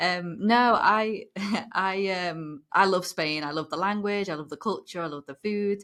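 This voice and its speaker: A woman speaks with a British accent on a very clean recording with a silent background. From northern England, near Liverpool. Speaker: former lawyer. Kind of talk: interview.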